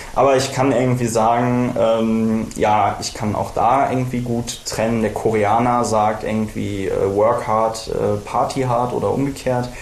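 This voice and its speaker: A man's monotone, flat delivery at medium pitch and a fairly slow pace, with noticeable background noise and audible room echo. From western Germany (Bonn). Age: 20s. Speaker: politician / party candidate. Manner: frequent filler hesitations.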